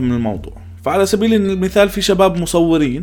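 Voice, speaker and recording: A man talks at a moderate pace with very wide swings in pitch over noticeable background noise. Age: 20s. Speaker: podcast host. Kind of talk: solo podcast monologue.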